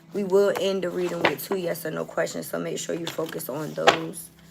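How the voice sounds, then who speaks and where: Moderate-paced speech from a woman, music playing behind. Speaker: tarot reader. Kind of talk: collective tarot reading. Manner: casual, conversational.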